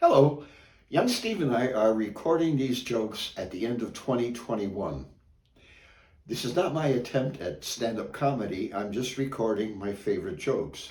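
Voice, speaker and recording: A man's somewhat breathy, medium-pitched voice with lively intonation at a moderate pace, plus audible room echo. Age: 70s. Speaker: amateur joke teller. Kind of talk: casual joke telling; casual introduction. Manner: halting, with many fillers.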